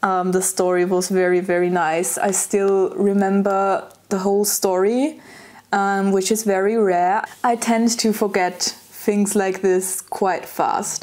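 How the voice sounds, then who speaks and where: Very even in loudness, a woman talks at a very slow pace with fairly even intonation. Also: medium pitch for a woman. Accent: German. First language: German. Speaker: lifestyle vlogger. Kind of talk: casual vlog monologue. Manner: hesitant, frequent filler words.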